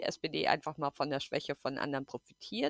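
A woman speaks at a moderate pace in a dry, close recording with no echo. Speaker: podcast guest. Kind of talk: casual political chat. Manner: hesitant, many fillers.

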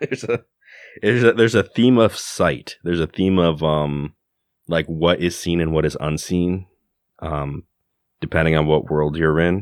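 At a moderate pace with long, frequent pauses, a man speaks at a very deep, low pitch with ordinary pitch variation. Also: dry, close sound with no echo. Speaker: podcast co-host. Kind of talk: casual chat.

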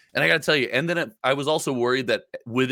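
Bright and sharp in tone, a man rattles along at a very fast pace with lively intonation in a very clean, dry, close recording with a silent background and no echo. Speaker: podcast host and content creator. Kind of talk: casual chat. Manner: talkative, chatty, animated.

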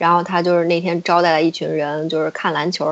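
Her pitch sits fairly low for a woman, with monotone, flat intonation. She speaks at a very fast pace. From China. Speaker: podcast guest. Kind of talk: casual chat.

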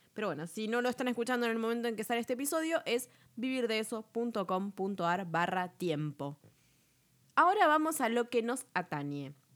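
A fairly high-pitched woman in a Rioplatense accent with very wide pitch swings and a moderate pace, on a very clean recording with a silent background. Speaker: podcast host, web business coach. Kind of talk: tutorial. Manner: casual, chatty.

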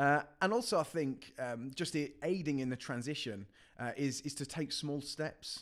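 A man speaks at medium pitch with ordinary pitch variation. The recording is very clean, with a silent background. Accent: West Midlands. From English Midlands, Coventry. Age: 20s. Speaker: youth worker. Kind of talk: podcast interview.

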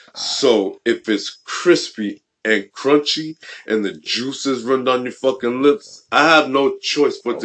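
A man speaks at a fairly slow pace in a plain, everyday voice. His pitch is medium, with ordinary pitch variation. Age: 30s. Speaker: podcast host.

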